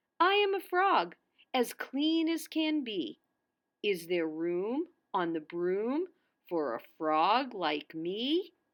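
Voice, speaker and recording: Putting on a croaky character voice, a woman speaks at a very slow pace with a fairly high pitch and very wide pitch swings. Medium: read story.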